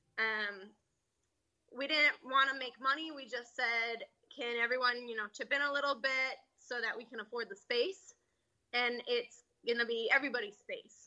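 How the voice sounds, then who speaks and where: A woman with an American accent, a high pitch, a bright, sharp tone, fairly even intonation and a moderate pace. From Connecticut, US. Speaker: gym owner and coach. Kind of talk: interview.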